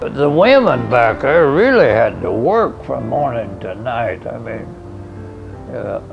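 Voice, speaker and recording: Someone with an American accent talks at a fairly slow pace, with big swings in loudness and music in the background. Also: man. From Lebanon, Missouri, USA. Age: 80s+. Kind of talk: interview answer.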